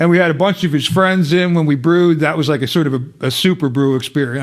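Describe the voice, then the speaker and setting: A man's fairly high voice at a very fast pace, hardly any pauses, ordinary pitch variation. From Philadelphia. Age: 70s. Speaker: brewer and homebrew shop owner. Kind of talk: casual chat.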